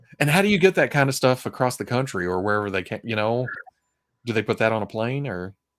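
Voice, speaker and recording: A medium-pitched man with an American accent, lively intonation and a very fast pace. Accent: Southern US accent, toned down. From Arkansas, Fort Smith. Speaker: streamer, gaming and toy collecting show host. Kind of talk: casual chat. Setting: live stream with online chat.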